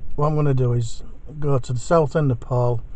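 Somewhat breathy, a man speaks at a fairly quick pace. His intonation is fairly even, and the sound is dry with no echo. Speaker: amateur vlogger. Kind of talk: casual vlog chat. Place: car. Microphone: phone near.

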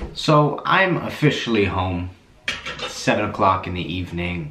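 The speech comes at a fairly slow pace. There is audible room echo and light background noise. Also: man, very deep, low pitch for a man. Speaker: plumber vlogger. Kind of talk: casual vlog chat. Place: bathroom. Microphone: phone near.

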